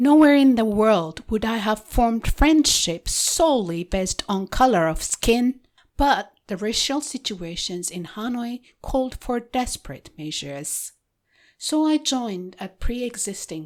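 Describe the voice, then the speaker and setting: In an Ethiopian accent, a woman speaks fairly slowly with a fairly high pitch. Her voice swings very widely in pitch over a very clean recording with a silent background. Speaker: podcast host and author. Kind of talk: reading aloud.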